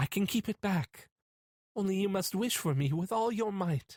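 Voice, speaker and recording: At a moderate pace, the speaker uses a put-on character voice pitched in the middle range. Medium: read story. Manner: distant, hollow.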